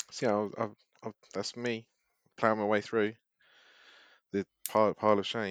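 Using a British accent and a fairly low pitch, a man speaks in a monotone, flat intonation at a moderate pace with long, frequent pauses, the sound dry and close with no echo. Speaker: podcast co-host. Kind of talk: casual banter.

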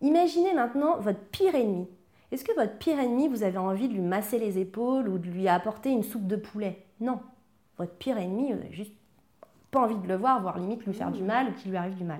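Very fast and somewhat breathy, a woman speaks with a fairly high pitch, a dark, mellow tone and lively intonation. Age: 30s. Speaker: emotional eating coach. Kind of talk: interview testimony.

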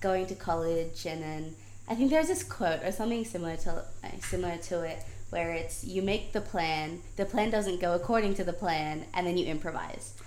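A woman with an American accent talks in a fairly low pitch at a moderate pace. Room echo can be heard. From South Africa. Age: 18. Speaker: student journalist. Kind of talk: casual chat.

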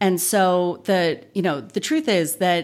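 Speaking at a very slow pace, a woman has an American accent. Her intonation is lively. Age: 40s. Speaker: political science professor and author. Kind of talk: interview.

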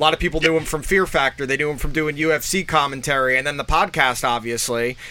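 The speech runs at a very fast pace with hardly any pauses and a bright, sharp tone. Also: man, fairly high pitch for a man. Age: 30s. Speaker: podcast co-host. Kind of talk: casual chat. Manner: animated.

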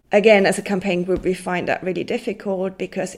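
This is a woman talking. The audio is very clean, and nothing can be heard behind her. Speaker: photographer and oral historian. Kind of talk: interview. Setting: artist's studio above a market.

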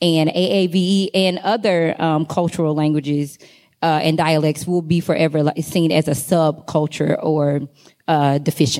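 A woman's very deep, low voice with a dark, mellow tone, fairly even intonation, very even loudness and a moderate pace. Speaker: doctoral student researcher. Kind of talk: conference panel discussion. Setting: stage with audience.

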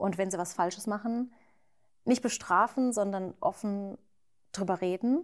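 A plain, everyday voice with ordinary pitch variation. The recording is very clean, with a silent background. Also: woman. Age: 30s. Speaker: YouTuber and mother of two. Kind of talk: casual chat. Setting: at her home, not a studio.

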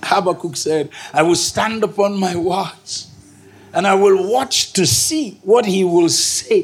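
With a Nigerian accent, a man speaks at a very slow pace in a high pitch, his intonation lively over noticeable background noise. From northern Nigeria, Kaduna. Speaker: pastor. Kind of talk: sermon. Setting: stage with audience. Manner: animated.

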